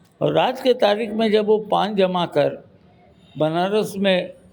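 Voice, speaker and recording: A man's voice against noticeable background noise. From Varanasi, north India. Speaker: senior journalist. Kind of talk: interview.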